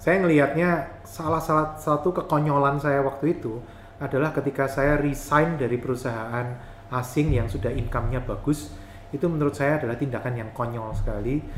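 A man with a Yogyakarta accent and a fairly high pitch, at a fairly quick pace with ordinary pitch variation, over noticeable background noise. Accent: Javanese (Jogja). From Yogyakarta, Java, Indonesia. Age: 40s. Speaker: property investor and entrepreneur. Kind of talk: podcast interview.

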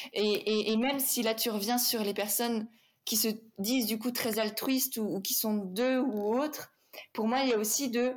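With very even loudness and fairly even intonation, a woman speaks at a moderate pace in a fairly high pitch. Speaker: podcast host and business coach. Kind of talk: interview conversation.

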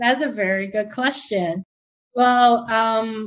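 A woman speaks with a Taiwanese-Canadian accent at a fairly high pitch. Her pace is very slow and her pitch varies in an ordinary way. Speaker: wedding planner. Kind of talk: interview.

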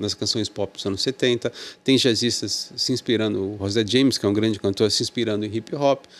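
A man with an unremarkable speaking voice keeps to a moderate pace. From Brazil, Santos (São Paulo state). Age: 50s. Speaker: music journalist and critic. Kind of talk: casual interview chat.

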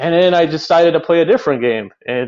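A man with an American accent, ordinary pitch variation, and a dry, close sound with no echo. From Chicago, Illinois. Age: 30s. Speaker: car enthusiast and streamer. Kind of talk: casual interview.

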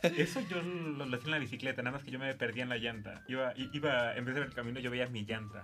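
A man speaks at a very fast pace with hardly any pauses and a medium pitch, over noticeable background noise. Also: ordinary pitch variation. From Guerrero, Mexico. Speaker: university student. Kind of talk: casual chat. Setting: studio.

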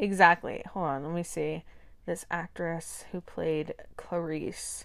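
Fairly low-pitched speech from a woman, very cleanly recorded against total background silence. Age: 20s. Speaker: podcast co-host. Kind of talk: casual chat. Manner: hesitant, many fillers.

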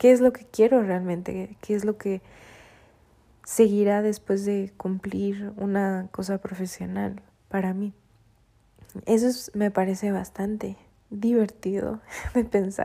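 A woman speaks very slowly at a medium pitch, her tone dark and mellow, her intonation monotone and flat, with long, frequent pauses. Her loudness swings widely on a very clean recording with a silent background. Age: 20s. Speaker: podcast host. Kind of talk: personal monologue.

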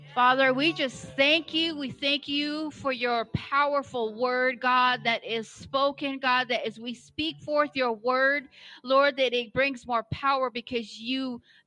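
A woman speaks in a high, bright and sharp voice that is raised and projected. Her pace is fairly slow and her intonation fairly even. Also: hardly any pauses. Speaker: congregant praying. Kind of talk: prayer with scripture reading.

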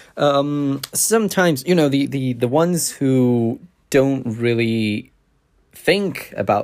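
With lively intonation, a man speaks at a very slow pace in a very clean recording with a silent background. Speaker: podcast host about writing. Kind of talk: solo podcast monologue, casual. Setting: home recording with creaky chair. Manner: filler-heavy, unscripted, informal; clicks tongue often.

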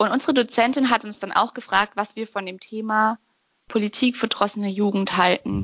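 A woman has an unremarkable speaking voice, fairly high in pitch, with fairly even intonation. She talks at a moderate pace with big swings in loudness. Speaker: podcast co-host. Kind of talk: casual discussion. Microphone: no proper mic, bad connection.

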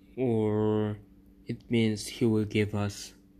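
A man with a non-native accent, a fairly low pitch and a dark, mellow tone. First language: not English. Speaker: podcast host. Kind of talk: devotional talk.

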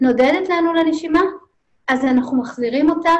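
The woman speaks at a moderate pace. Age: 50s. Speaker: mindfulness therapist and facilitator. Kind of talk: podcast interview.

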